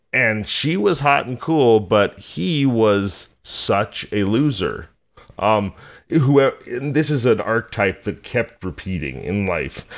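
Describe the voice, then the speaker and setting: With an American accent, a man speaks very slowly at medium pitch, his intonation lively. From rural California. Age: 40s. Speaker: podcast host. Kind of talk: scripted narration; casual chat. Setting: remote call.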